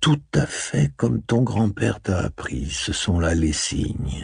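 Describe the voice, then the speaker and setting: Using a put-on character voice, a man speaks at a fairly slow pace with a calm tone, his very deep, low pitch making very wide swings. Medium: read story. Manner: calm, sage, deliberate.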